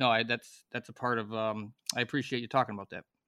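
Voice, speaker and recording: A man with a Chicago accent talks at a fairly quick pace in a bright, sharp tone. The recording is very clean, dry and close, with no echo and a silent background. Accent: Chicago American English. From US Midwest, Chicago. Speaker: former hockey player, podcast co-host. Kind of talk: casual chat.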